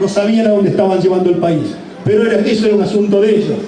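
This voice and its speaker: With noticeable background noise and audible room echo, a man speaks very fast in a high pitch. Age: 60s. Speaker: speaker at a commemoration ceremony. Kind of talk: public speech. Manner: halting, with self-corrections.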